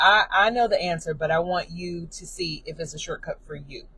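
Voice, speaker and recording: A woman talks at a moderate pace, her pitch medium. Her voice is somewhat breathy. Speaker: auto dealer business coach. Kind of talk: live stream training. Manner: casual, filler-heavy.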